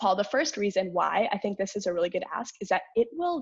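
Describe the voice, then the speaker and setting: A woman with a medium-pitched voice speaks against a quiet background. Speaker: animal rights activist presenter. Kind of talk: online meetup presentation. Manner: fast.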